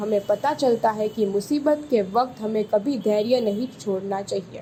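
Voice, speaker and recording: Her voice sits at a fairly high pitch, somewhat breathy, as the woman speaks with ordinary pitch variation. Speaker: voice over artist. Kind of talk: children's story narration.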